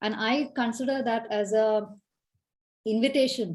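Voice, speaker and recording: A woman's fairly high, somewhat breathy voice shows ordinary pitch variation. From India, Kerala. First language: Malayalam. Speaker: leadership coach. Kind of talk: Q&A answer in online talk.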